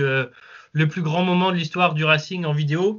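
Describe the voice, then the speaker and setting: At a fairly slow pace, a man talks in a high pitch with fairly even intonation. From Lens area, northern France. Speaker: football fan channel creator. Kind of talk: casual chat.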